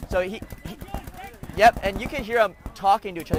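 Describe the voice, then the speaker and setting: A man talks at a very fast pace in an animated tone with ordinary pitch variation. Noticeable background noise runs underneath. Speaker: paintball commentator. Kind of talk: live commentary. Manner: loud.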